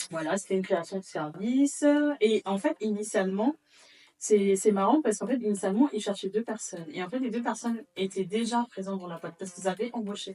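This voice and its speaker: A woman speaks fairly quickly at a medium pitch. Her pitch varies in an ordinary way while her loudness swings widely. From Gabon, Libreville. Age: 30s. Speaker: real estate litigation lawyer. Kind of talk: interview. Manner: halting.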